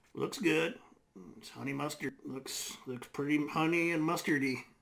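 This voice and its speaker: A man does a put-on character voice, raspy and fairly high in pitch. He goes at a moderate pace with big swings in loudness. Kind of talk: comedic web series host monologue. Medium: comedy web series. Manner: folksy, hesitant.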